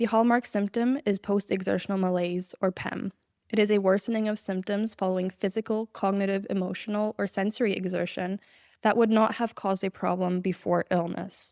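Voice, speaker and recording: With a shaky, medium-pitched voice, a woman speaks fairly quickly in a flat monotone, recorded very cleanly with a silent background and a dry, close sound with no echo. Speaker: podcast host. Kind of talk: scripted narration. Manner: shaky voice.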